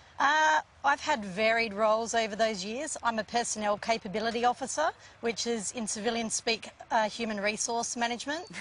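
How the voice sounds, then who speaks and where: With an Australian accent, a woman speaks at a fairly quick pace, her pitch fairly high and its variation ordinary. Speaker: air force officer. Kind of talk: TV interview answer.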